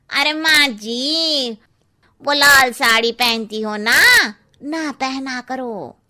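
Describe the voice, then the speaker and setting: Speaking very slowly, a woman uses a cartoonish character voice at a high pitch. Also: ordinary pitch variation. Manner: cheeky, blunt.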